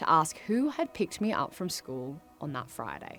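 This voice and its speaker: A woman speaks with an Australian accent at a fairly low pitch. Music plays in the background. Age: 20s. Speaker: presenter and commentator. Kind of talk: event speech, personal storytelling.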